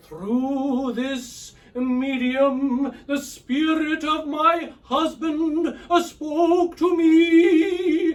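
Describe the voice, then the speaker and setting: In a put-on character voice, the words come at a very slow pace with hardly any pauses. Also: man, extremely high pitch for a man. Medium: read story. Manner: halting, hesitant, full of pauses.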